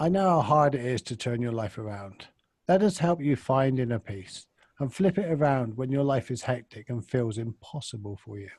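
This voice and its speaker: A man speaks at medium pitch with lively intonation and a somewhat breathy quality. The recording is very clean, with a silent background. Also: moderate pace. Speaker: podcast co-host. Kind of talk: podcast intro recording.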